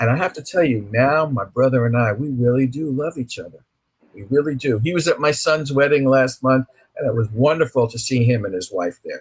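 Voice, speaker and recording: There's a man with a medium-pitched voice. A slight breathiness colors it. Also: ordinary pitch variation, fairly quick pace. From New York (Brooklyn). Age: 60s. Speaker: author. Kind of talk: interview.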